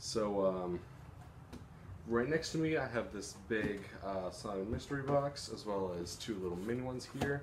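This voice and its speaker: Noticeable background noise runs behind the recording. A man speaks at a moderate pace in a fairly low pitch. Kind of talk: casual vlog chat. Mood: relaxed, cheerful. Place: home room. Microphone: phone near.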